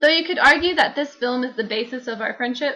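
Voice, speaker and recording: Bright and sharp in tone, a woman projects her high-pitched voice with a slight Texan accent. She talks at a very fast pace with ordinary pitch variation. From Texas. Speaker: vlogger. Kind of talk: scripted narration.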